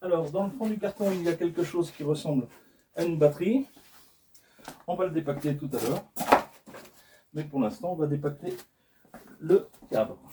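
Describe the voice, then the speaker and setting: A man's high-pitched voice with lively intonation and long, frequent pauses. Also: moderate pace. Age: 60s. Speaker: product reviewer. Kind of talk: product unboxing video. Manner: casual, hesitant with repetitions.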